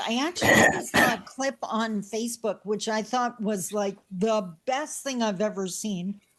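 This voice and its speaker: A woman with a plain, everyday voice talks at a fairly slow pace, her fairly high pitch showing ordinary pitch variation. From Canada. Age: 60s. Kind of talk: casual chat. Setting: video call.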